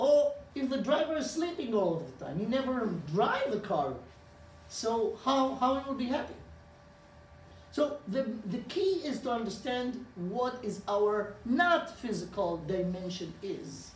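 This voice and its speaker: Speaking with an Israeli accent at a fairly slow pace, the voice makes very wide pitch swings amid noticeable background noise and audible room echo. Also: man, extremely high pitch for a man. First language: Hebrew. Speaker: rabbi. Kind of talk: lecture. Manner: halting.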